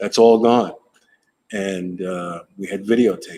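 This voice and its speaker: With music in the background, a man speaks in a flat, monotone way at a fairly low pitch, with an American accent. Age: 60s. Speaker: retired TV news camera operator. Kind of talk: interview.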